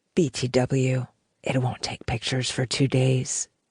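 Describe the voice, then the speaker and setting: Low-to-middle in pitch and husky, a put-on character voice stays monotone and flat at a moderate pace. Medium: read story.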